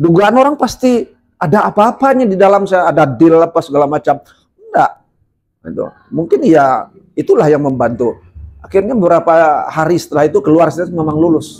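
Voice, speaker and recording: Pitched high, a man speaks with lively intonation. His pace is fairly quick. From Sungai Penuh, Jambi, Sumatra, Indonesia. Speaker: legislative candidate, former teacher. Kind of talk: podcast interview, personal storytelling.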